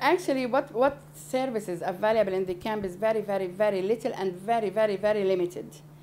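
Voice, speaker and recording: Speaking very fast, a woman with an Arabic accent has a dark, mellow tone. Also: medium pitch for a woman, ordinary pitch variation. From Palestinian refugee camp in Beirut, Lebanon. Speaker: NGO founder. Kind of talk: interview answer.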